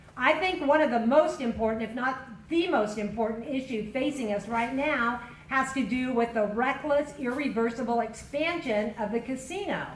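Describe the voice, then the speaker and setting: A loud woman with an American accent talks at a high pitch and moderate pace, with ordinary pitch variation. Noticeable background noise and audible room echo fill the recording. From Kern County, California. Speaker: county supervisor candidate. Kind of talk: candidate forum opening statement. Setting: public forum with audience.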